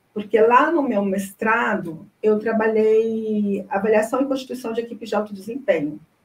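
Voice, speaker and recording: In an ordinary speaking voice, a woman talks at a moderate pace. Her pitch is fairly high, with ordinary pitch variation. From Brazil, Goiânia (Goiás). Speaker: information science researcher and project management consultant. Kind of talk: interview.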